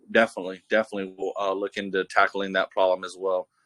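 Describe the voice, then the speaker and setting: Here a man speaks with an American accent at a fairly quick pace. The sound is dry and close, with no echo. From Texas. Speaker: crypto project representative. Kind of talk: live Q&A answers. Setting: video call. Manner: hesitant, many fillers.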